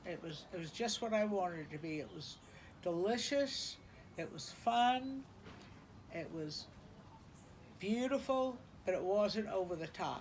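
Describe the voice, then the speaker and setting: A woman with an American accent speaks at a medium pitch and a fairly slow pace, with long, frequent pauses and audible room echo. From South Carolina, Charleston. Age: 70s. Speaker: interviewee recounting family history. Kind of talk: oral history interview. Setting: beach house porch.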